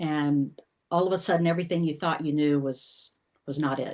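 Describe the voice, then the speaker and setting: Against a quiet background, a woman with a Southern US accent speaks in a very deep, low pitch with fairly even intonation. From US South. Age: 50s. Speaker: intuitive life coach and author. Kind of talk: personal testimony in a class talk. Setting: class workshop with group.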